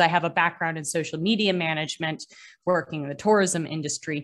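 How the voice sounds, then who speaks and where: A woman with an American accent has an ordinary speaking voice. Her pitch is fairly low, with ordinary pitch variation. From Massachusetts, Boston area. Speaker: maritime archaeologist and scuba diver. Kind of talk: casual interview.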